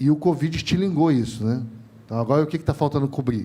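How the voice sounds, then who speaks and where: The speaker has a Rio de Janeiro accent. Pitch varies in an ordinary way. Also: man. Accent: carioca. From Rio de Janeiro, Brazil. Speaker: telecom industry trainer, panelist. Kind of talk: panel discussion. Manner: animated, informal.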